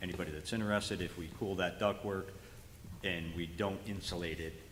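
A man's very deep, low voice with fairly even intonation and audible room echo. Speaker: school facilities presenter. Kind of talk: board meeting presentation. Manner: fast.

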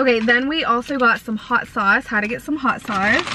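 A woman's high-pitched voice at a moderate pace, dry with no echo, over light background noise. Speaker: food vlogger. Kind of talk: casual vlog chat. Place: car. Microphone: phone near.

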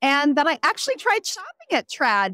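A woman's raised, projected voice, high-pitched and bright with a sharp edge, at a fairly quick pace in a dry, close sound with no echo. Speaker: romance novelist. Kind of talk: casual interview. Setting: book festival floor.

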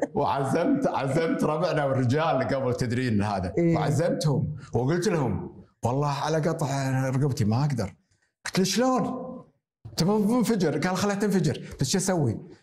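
A somewhat breathy voice with very wide pitch swings and audible room echo. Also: man, moderate pace, very even loudness. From Kuwait, Jleeb Al-Shuyoukh; Kuwait. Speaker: retired surgeon and hospital director; interview guest. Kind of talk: interview. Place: home room. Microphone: lapel.

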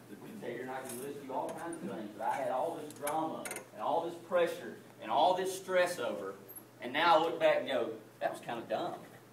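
With audible room echo, the voice moves at a fairly quick pace, its tone fairly bright and its pitch variation ordinary. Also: man.

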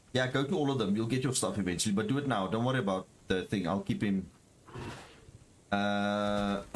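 A man with a fairly low pitch talks at a fairly quick pace with very even loudness, broken by long, frequent pauses. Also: ordinary pitch variation. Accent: South African. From South Africa. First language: Afrikaans. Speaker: gaming streamer. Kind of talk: casual chat.

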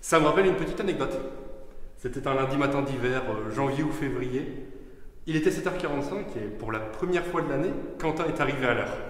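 A man's fairly quick speech with ordinary pitch variation and audible room echo. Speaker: speaker. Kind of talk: funeral eulogy speech. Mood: light, anecdotal, with humor. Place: church. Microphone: podium.

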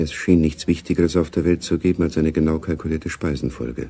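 A man speaks in a put-on character voice, extremely low in pitch, with a dark, mellow tone and a slightly husky edge. His pace is fairly quick, and his pitch varies in an ordinary way.

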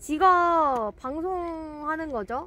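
A woman speaks in an extremely high pitch with lively intonation. Her voice is raised and projected. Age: 20s. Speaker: fishing live streamer. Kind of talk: live stream chat. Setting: outdoors at a fishing spot. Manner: animated.

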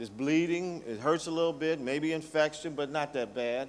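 The pace here is moderate. A man delivers it with ordinary pitch variation. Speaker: presenter. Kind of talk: lecture. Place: hall. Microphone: podium.

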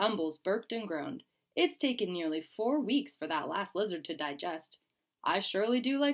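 Quiet background behind plain reading aloud with lively intonation

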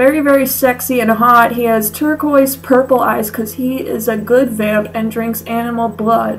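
A woman talks at a moderate pace with fairly even intonation. She hardly pauses, and light background noise can be heard. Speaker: comedy vlogger. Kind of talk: comedic reading of fanfic with commentary. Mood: sarcastic, mock-disgusted. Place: home room. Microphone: webcam.

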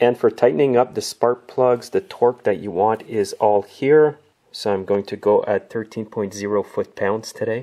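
A man's dark, mellow tone carries ordinary pitch variation. He goes at a fairly slow pace over a quiet background. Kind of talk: tutorial. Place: garage.

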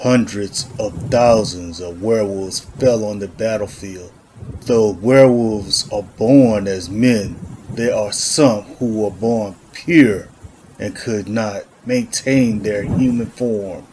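The speaker is a man doing a put-on character voice. His pitch is medium, and his pace is fairly slow. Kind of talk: gritty western noir narration.

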